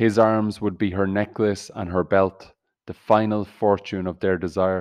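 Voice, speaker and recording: The speech comes at a fairly slow pace in a monotone, flat intonation. The background is quiet. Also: man. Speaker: poetry podcast host. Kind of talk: unhurried solo poetry reading, lingering over each image. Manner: measured, contemplative pacing with reflective pauses; gently earnest, intimate tone drawing listener into the poem.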